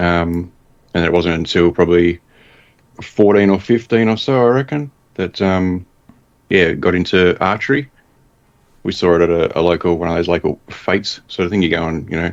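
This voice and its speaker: Very deep and low in pitch, a man speaks with an Australian accent at a moderate pace. He shows ordinary pitch variation and leaves long, frequent pauses. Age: 40s. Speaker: bow hunter. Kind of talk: casual chat.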